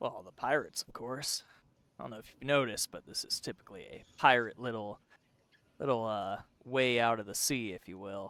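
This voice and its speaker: A man uses a put-on character voice at a medium pitch. He keeps a moderate pace with long, frequent pauses. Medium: actual play.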